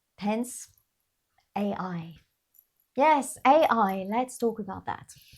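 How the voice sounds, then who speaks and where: The voice is somewhat breathy, with an animated tone and lively intonation. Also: woman. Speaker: YouTuber. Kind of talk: personal vlog monologue.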